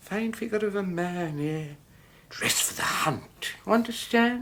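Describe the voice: A man does a put-on character voice, high-pitched with lively intonation. His pace is fairly slow and his tone fairly bright.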